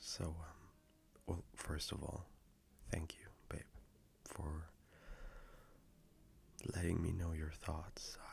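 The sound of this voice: In a put-on character voice with a slightly mellow tone and vocal fry, the speaker moves at a slow pace with long, frequent pauses and little pitch movement. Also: man, extremely low pitch for a man.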